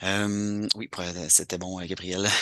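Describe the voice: A man speaks at a fairly slow pace with a bright, sharp tone. His pitch is low and moves very little.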